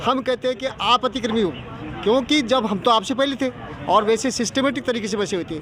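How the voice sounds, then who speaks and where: Over crowd noise in the background, a man with an extremely high-pitched voice talks at a moderate pace with ordinary pitch variation. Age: 70s. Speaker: former village official. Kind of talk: news interview.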